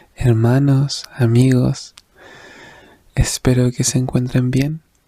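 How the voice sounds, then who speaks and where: The voice is soft-spoken. The sound is dry and close, with no echo. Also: man. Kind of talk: devotional reflection / sermon-style talk.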